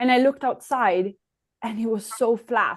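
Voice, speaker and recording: A woman's high-pitched voice in an Italian accent, at a moderate pace. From Italy (Trento). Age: 20s. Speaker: ice hockey player. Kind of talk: podcast interview.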